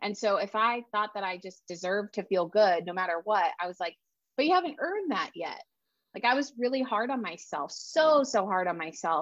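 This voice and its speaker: Speaking at a moderate pace, a woman with a fairly high pitch and a normal speaking voice uses lively intonation against a quiet background. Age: 30s. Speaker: writer and self-care coach. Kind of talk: casual interview.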